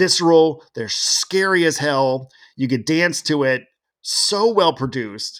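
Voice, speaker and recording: With an American accent and a plain, everyday voice, a man speaks at a fairly slow pace and fairly high pitch, his intonation lively, on a very clean recording with a silent background. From Seattle, US. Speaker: music writer. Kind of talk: casual podcast conversation.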